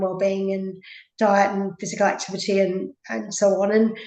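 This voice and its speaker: Speaking with an Australian accent, a woman uses a dark, mellow tone and monotone, flat intonation at a moderate pace. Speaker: physiotherapist. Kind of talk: interview. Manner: hesitant, many fillers.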